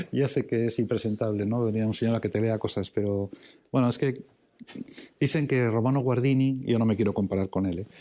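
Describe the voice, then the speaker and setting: On a very clean recording with a silent background, a man talks fairly quickly at medium pitch. His loudness stays very even and his intonation fairly even. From Basque Country, San Sebastián. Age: 60s. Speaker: priest and theology professor. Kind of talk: lecture. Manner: halting, many fillers and repetitions; reading aloud.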